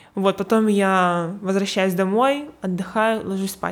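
At a moderate pace, a woman talks in a normal speaking voice at medium pitch on a very clean recording with a silent background. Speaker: graphic designer. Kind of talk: casual interview.

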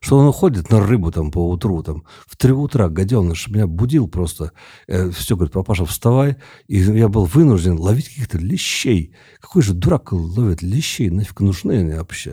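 A man with a fairly low pitch speaks at a moderate pace in a dark, mellow, somewhat breathy tone. His intonation is lively and his loudness swings widely, all on a very clean recording with a silent background. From Siberia, Tomsk. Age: 50s. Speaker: poet. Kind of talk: casual chat. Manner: halting.

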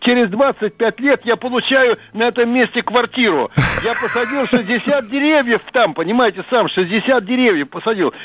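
A man speaks at a fairly slow pace and an extremely high pitch, with ordinary pitch variation. The sound is dry and close with no echo, though background noise is noticeable. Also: very even loudness. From Russia, Moscow region. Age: 80s+. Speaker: radio caller. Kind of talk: phone-in storytelling.

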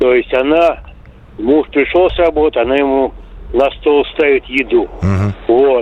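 Long, frequent pauses break up a man's speech, which moves at a moderate pace. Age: 60s. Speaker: caller. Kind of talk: casual phone call. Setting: phone call.

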